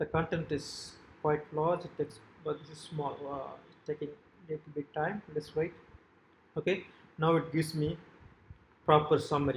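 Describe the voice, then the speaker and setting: A man with a Tamil accent speaks at a moderate pace and a fairly high pitch. His intonation is flat and monotone, broken by long, frequent pauses. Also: big swings in loudness. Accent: South Asian (Tamil) English. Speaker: software developer demonstrating own website. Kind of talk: tutorial. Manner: halting, frequent fillers.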